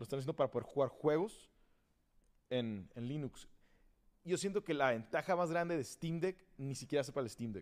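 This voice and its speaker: A man's plain, everyday voice, fairly high-pitched, with lively intonation at a moderate pace, on a very clean recording with a silent background. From Tijuana, Mexico. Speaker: guest, gamer. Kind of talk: casual chat.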